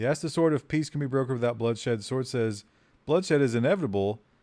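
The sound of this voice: Someone reads in an unforced voice. Ordinary variation marks the pitch.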